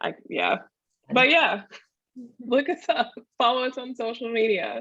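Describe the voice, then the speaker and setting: At a fairly slow pace, a woman with a high pitch and a Southern US accent speaks with ordinary pitch variation. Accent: Southern US drawl. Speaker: marketing business owner. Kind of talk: interview conversation.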